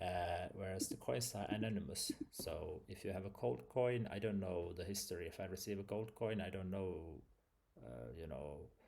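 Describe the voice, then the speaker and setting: With a non-native accent, a man speaks at a moderate pace in a very deep, low voice that is dark and mellow, showing vocal fry and lively intonation. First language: not English. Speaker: vlogger. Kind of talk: casual explainer monologue. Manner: halting.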